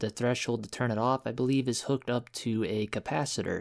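On a very clean recording with a silent background, an unremarkable speaking voice talks with fairly even intonation. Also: man. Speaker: electronics hobbyist. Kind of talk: casual DIY tutorial talk to camera.

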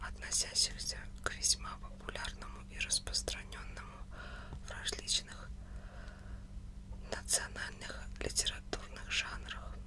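Very slowly, a woman whispers. Her speech is broken by long, frequent pauses. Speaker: ASMR content creator. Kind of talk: book reading, audiobook style. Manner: whispered, soft. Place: home room. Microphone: studio mic.

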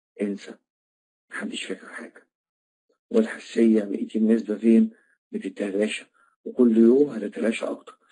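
This man speaks with an Egyptian accent at a moderate pace. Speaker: trainer of trainers. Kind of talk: online lecture. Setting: online classroom.

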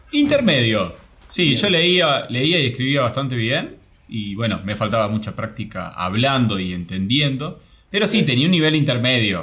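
A man at a moderate pace, medium pitch, a plain, everyday voice. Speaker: travel program creator. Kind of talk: interview.

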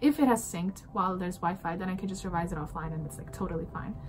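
Over light background noise, a woman talks at a very fast pace with ordinary pitch variation. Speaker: student vlogger. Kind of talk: tutorial. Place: home room. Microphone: phone near.

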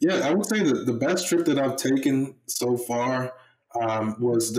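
A man with an American accent speaks at a moderate pace. The background is quiet, though audible room echo colors the sound. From Baltimore, Maryland. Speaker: former pro football player, real estate investor; podcast guest. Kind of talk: podcast interview; interview answer. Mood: friendly, relaxed. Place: home room. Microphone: webcam.

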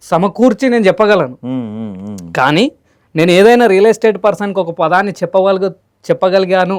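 Very even in loudness, a man with a high pitch talks with ordinary pitch variation in a dry, close sound with no echo. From Telangana, Jogulamba Gadwal district. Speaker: real estate trainer and founder. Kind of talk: interview.

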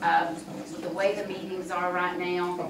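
Amid audible room echo and noticeable background noise, a woman talks fairly slowly. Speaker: political candidate. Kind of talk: forum answer. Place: meeting room. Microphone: camera far.

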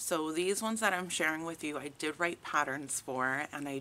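A woman speaks at a very deep, low pitch with ordinary pitch variation. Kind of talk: casual vlog chat. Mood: friendly, relaxed. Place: garden. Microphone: phone near.

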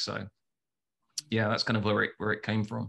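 This man speaks with a London accent. The background is quiet. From London, England. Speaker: advertising agency founder. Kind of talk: casual interview. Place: home room. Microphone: video call.

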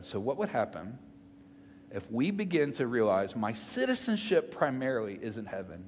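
A man speaks at a moderate pace in a Southern US accent, his medium-pitched voice full of lively intonation over light background noise. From Mississippi, US South. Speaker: pastor. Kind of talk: sermon. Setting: church. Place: church. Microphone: headset.

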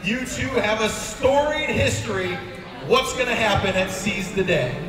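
A man with a high pitch and lively intonation speaks at a moderate pace amid audible room echo and noticeable background noise. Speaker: wrestling interviewer. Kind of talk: post-match ring interview. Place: hall.

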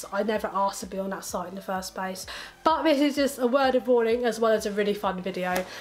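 A woman with fairly high pitch speaks at a very fast pace with ordinary pitch variation. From England. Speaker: YouTuber. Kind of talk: casual vlog. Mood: amused, joking. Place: home room.

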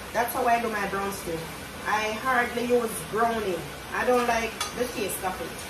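A woman talks fairly slowly with ordinary pitch variation while noticeable background noise runs beneath. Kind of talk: casual cooking vlog chat. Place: kitchen. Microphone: camera far.

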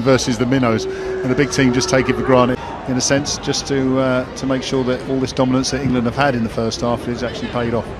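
A man's very fast, monotone, flat delivery over noticeable background noise. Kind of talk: sports commentary, co-commentator analysis. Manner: conversational, reflective, with hesitations and fillers.

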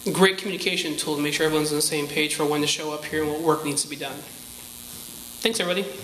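A man talks very fast at a fairly high pitch with fairly even intonation. Audible room echo and light background noise surround him. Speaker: community campus representative; presenter. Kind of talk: public address. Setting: stage with audience. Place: hall. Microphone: handheld.

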